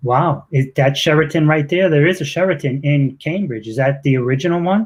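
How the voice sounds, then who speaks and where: A somewhat breathy man's voice in a Boston accent, fairly high in pitch. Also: ordinary pitch variation, fairly quick pace. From Boston, Massachusetts. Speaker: podcast host. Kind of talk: interview.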